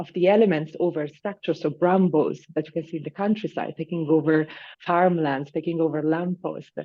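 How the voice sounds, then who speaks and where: A woman's fairly low pitch in an Italian accent, fairly quick in pace and fairly even in intonation. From northern Italy, Lombardy. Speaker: landscape designer. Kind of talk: interview. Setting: video call.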